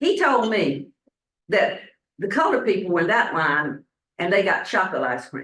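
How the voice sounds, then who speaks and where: With a Southern US accent, a woman at medium pitch speaks at a moderate pace, her pitch swinging very widely amid long, frequent pauses. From US South, Statesboro, Georgia. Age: 70s. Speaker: pastor. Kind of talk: sermon.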